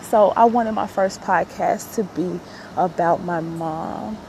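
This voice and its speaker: A woman at a fairly slow pace with ordinary pitch variation, amid noticeable background noise. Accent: American. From Chicago. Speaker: podcaster. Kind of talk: personal monologue.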